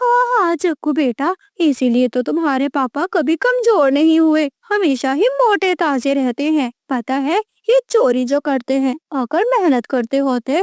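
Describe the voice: A cartoonish character voice at a moderate pace, with hardly any pauses. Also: woman, high pitch for a woman.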